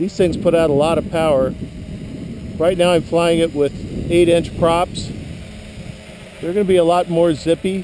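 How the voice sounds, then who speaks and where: Through noticeable background noise, a high-pitched man speaks at a moderate pace in a monotone, flat intonation with long, frequent pauses. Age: 60s. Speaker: hobbyist drone pilot. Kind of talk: tutorial. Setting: outdoors. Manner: casual.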